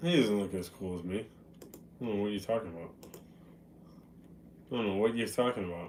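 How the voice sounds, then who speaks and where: With an American accent, a man with a fairly low pitch talks at a fairly quick pace and ordinary pitch variation, leaving long, frequent pauses amid audible room echo. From Boston, US. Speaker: live streamer. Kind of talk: casual chat. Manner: casual, conversational.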